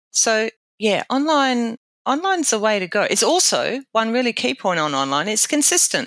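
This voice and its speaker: With an Australian accent, a woman speaks at a fairly high pitch and moderate pace, her loudness very even and her pitch swinging very widely, in a dry, close sound with no echo. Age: 60s. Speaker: safety training consultant. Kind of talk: interview. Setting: podcast interview.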